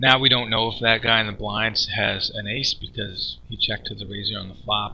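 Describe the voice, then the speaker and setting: A man speaks at a moderate pace in a fairly low pitch, his intonation monotone and flat. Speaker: poker streamer / coach. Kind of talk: poker session commentary. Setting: cheap microphone, screen-recording voiceover. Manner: soft-spoken, mumbling, casual.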